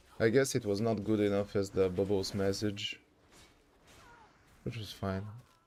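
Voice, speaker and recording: Speaking with a non-native accent, a man with a fairly low pitch moves at a moderate pace, broken by long, frequent pauses. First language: not English. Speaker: streamer. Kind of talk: casual livestream gameplay chat. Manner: animated.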